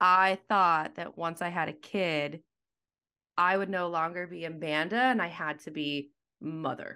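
A woman with an American accent speaks at a fairly slow pace and fairly low pitch, with ordinary pitch variation. Her tone is bright and sharp, and the recording is very clean with a silent background. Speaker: mother and content creator. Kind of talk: casual chat.

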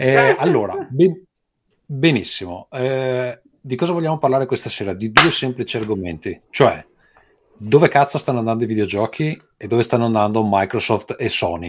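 Pausing long and often, a man talks at a moderate pace with lively intonation. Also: medium pitch for a man. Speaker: podcast host. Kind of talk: casual chat. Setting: recording at home. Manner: soft-spoken.

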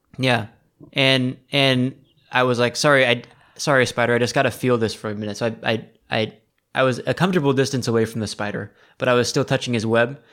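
Using a normal speaking voice, a man with an American accent talks at a fairly quick pace and medium pitch with fairly even intonation. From Seattle, US. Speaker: podcast host, tea enthusiast. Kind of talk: casual chat. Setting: recording remotely from Taiwan.

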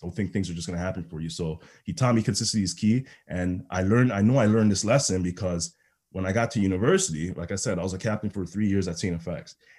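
In a Toronto accent, a man talks very fast with a very deep, low pitch and ordinary pitch variation. The recording is very clean, with a silent background. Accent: Canadian (Toronto). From Toronto, Ontario (Rexdale), born in Ghana. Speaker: football coach and public speaker. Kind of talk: podcast interview.

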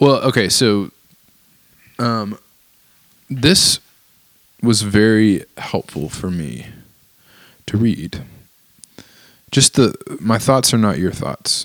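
At a slow pace, a man with a fairly low pitch talks with lively intonation and long, frequent pauses.

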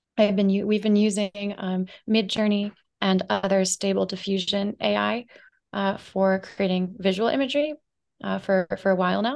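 At a moderate pace and medium pitch, a woman speaks in a plain, everyday voice over a quiet background. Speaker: marketing agency founder and author. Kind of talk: casual interview chat.

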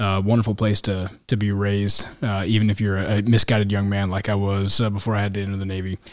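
In a very clean recording with a silent background, a man with a fairly low pitch races at a very fast pace in a monotone, flat intonation, with hardly any pauses. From Kansas City, US Midwest. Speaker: military pilot. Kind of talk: casual chat. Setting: in person, Yuma, Arizona.

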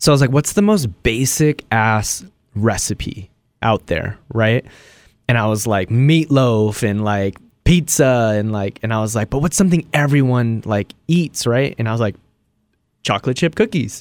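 At a moderate pace, a man with a plain, everyday voice speaks at medium pitch with ordinary pitch variation, in a dry, close sound with no echo. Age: 30s. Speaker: cooking content creator. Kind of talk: casual chat.

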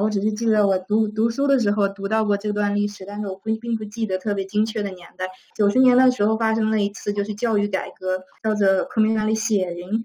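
Over noticeable background noise, a woman talks fairly quickly in a fairly high pitch. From China. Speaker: school teacher. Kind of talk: interview answers.

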